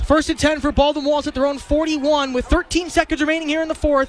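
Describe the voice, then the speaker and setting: A man speaks at an extremely high pitch. Noticeable background noise runs behind him. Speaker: college football radio play-by-play announcer. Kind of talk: live radio sports play-by-play. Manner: tense, rapid-fire game description.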